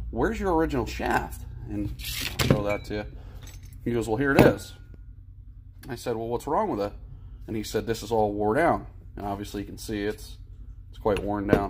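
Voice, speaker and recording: A man talks at a fairly quick pace against loud background noise. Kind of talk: casual tutorial narration. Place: workshop. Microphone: phone near.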